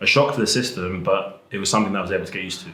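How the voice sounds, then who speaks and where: A man's voice with an English accent and audible room echo. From England. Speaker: rugby and American football player. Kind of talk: interview. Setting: school.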